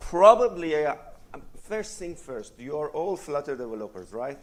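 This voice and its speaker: Loud and fairly high-pitched, a man speaks with very wide pitch swings and long, frequent pauses. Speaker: conference speaker, software developer. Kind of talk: conference talk. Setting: stage with audience.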